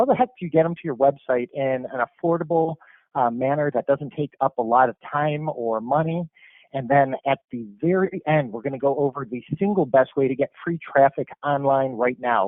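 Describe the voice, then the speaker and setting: A man talks in a normal speaking voice at a fairly quick pace, with a fairly high pitch and ordinary pitch variation. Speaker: marketing presenter. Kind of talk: webinar presentation.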